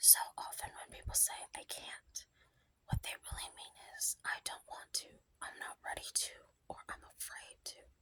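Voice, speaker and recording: Whispering in a soothing tone, the speaker keeps a moderate pace. Long, frequent pauses break up the words. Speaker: ASMR creator. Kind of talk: whispered book reading for sleep. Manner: whispered, soft, soothing.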